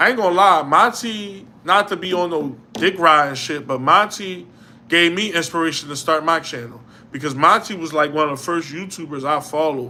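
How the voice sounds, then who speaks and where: Speaking at a moderate pace with a Philadelphia accent, this voice shows ordinary pitch variation. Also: man. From Philadelphia, US. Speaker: YouTuber, livestream host. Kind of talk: casual livestream chat. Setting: home livestream by a window. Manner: conversational, responding to chat.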